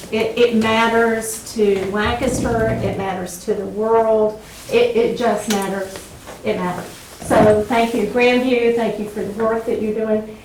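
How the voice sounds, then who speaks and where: A woman with a fairly high pitch speaks at a fairly slow pace in a monotone, flat intonation. Noticeable background noise and audible room echo come through. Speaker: Bible professor. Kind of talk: lecture.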